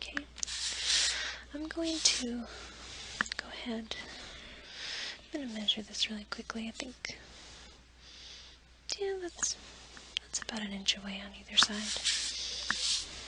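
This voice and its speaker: Whispering over noticeable background noise, a woman talks at a fairly slow pace with long, frequent pauses. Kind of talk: ASMR craft tutorial. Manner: soft-spoken, whispered.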